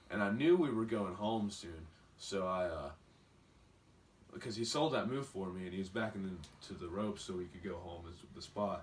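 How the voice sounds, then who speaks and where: A man with an Appalachian accent, fairly low in pitch, at a moderate pace, with audible room echo. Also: ordinary pitch variation, big swings in loudness. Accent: rural Appalachian, sounds like a redneck. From West Virginia, Beckley. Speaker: pro wrestler. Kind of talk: interview.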